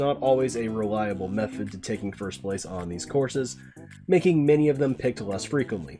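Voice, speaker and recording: With music in the background, a man talks at a fairly quick pace and medium pitch, his pitch swinging very widely. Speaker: competitive racing game player. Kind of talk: game tutorial narration.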